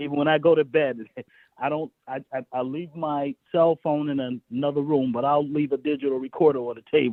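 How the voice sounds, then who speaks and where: With fairly even intonation and a fairly high pitch, a man talks at a fairly quick pace in an unremarkable speaking voice. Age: 60s. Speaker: songwriter. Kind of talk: interview.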